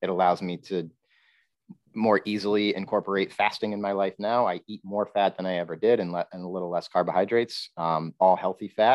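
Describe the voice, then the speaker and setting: Intonation stays fairly even as a man with a New York State accent speaks at a fairly low pitch. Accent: American (New York State). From upstate New York. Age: 40s. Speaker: nutritional therapy practitioner. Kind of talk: casual interview.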